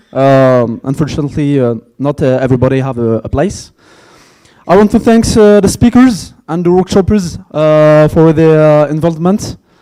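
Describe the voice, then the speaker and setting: In a French accent, a man talks at a moderate pace with a fairly high pitch. His tone is dark and mellow, and his intonation lively. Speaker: conference organizer. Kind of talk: closing speech. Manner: halting.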